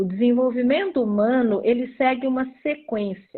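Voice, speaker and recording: This woman's voice is high-pitched, with lively intonation. She talks at a fairly slow pace. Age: 60s. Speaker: psychologist. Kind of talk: casual chat. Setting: livestream, audio only.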